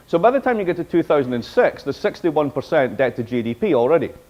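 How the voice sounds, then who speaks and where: This man talks at a very fast pace in a Scottish accent, his fairly high voice animated and his intonation lively. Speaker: professor. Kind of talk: lecture.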